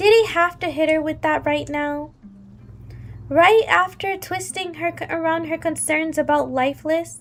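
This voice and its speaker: Music plays in the background as a woman speaks fairly slowly. Her pitch is extremely high. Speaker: streamer reading a story aloud. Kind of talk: reading aloud mixed with casual chat to live viewers. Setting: live stream. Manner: animated.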